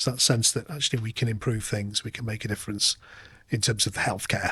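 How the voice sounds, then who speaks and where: A man with a Lancashire accent talks very fast in a medium pitch, his tone bright and sharp and his intonation fairly even. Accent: northern English, Lancashire. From northern England, Lancashire (Oldham). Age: 50s. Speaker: nurse manager. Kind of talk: podcast interview.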